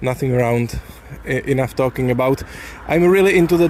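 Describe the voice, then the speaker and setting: Over noticeable background noise, a man with a Czech accent speaks at a fairly high pitch. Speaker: software developer. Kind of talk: casual vlog monologue. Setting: outdoors, walking. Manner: halting.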